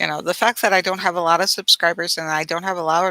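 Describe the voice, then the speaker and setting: The voice has an American accent and a bright, sharp tone, with fairly even intonation at a very fast pace. The sound is dry and close, with no echo. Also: woman. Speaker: vlogger. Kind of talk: casual live-stream chat with viewers. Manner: hesitant, many fillers; rambling, jumps between topics.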